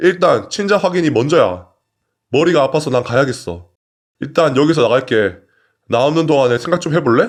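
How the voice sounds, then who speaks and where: Against a quiet background, a man talks in a fairly high pitch with lively intonation. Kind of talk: story narration read aloud (reading of a submitted personal story).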